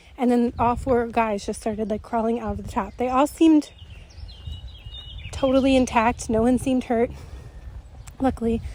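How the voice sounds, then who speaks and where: Noticeable background noise sits behind a woman with a high pitch and fairly even intonation. She talks at a moderate pace with long, frequent pauses. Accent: American. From United States. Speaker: spiritual channeler. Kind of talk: storytelling monologue. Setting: outdoors, walking. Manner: casual, filler-heavy.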